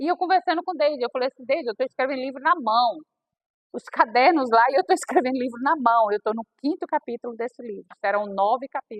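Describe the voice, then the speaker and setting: A woman's high voice at a very fast pace, with big swings in loudness and lively intonation. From Bahia sertão, northeastern Brazil. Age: 60s. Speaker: aspiring author. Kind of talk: personal testimony at a reading circle.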